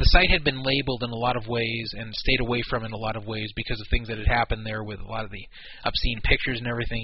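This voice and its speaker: Noticeable background noise sits behind a man talking at a very fast pace with fairly even intonation. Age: 40s. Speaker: poker radio show host. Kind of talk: casual talk radio chat.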